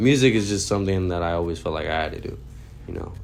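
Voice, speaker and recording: With vocal fry and a very deep, low pitch, a man speaks in an American accent with lively intonation, and audible room echo is present. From Texas, San Antonio. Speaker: rapper. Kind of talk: interview. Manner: casual, many fillers.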